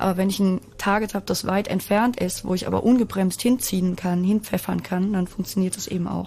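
A woman speaks with hardly any pauses in a somewhat breathy voice. Her pitch is medium and her intonation is monotone and flat. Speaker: usability expert. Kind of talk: casual chat.

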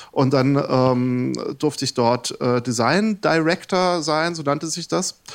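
A man with a fairly high pitch speaks at a very slow pace. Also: ordinary pitch variation. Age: 40s. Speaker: game developer and lecturer. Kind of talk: casual chat. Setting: live radio studio with audience.

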